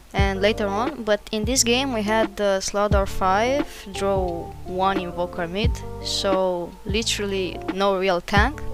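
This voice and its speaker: Music plays in the background as a woman talks at a fairly slow pace. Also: medium pitch for a woman, ordinary pitch variation. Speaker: gamer. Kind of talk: gameplay commentary voiceover.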